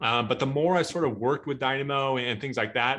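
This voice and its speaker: A man with a Midwestern US accent at a very fast pace, ordinary pitch variation, and a quiet background. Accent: General American, Midwestern. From US Midwest (Omaha, Nebraska); Nebraska. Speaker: tech speaker, database expert; speaker. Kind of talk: technical webinar talk. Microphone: video call.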